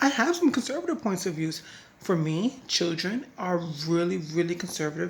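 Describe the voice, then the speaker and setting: Somewhat breathy, a woman talks at a fairly quick pace with fairly low pitch. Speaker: political commentary vlogger. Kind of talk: casual political commentary. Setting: at home at night. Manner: hesitant, many fillers.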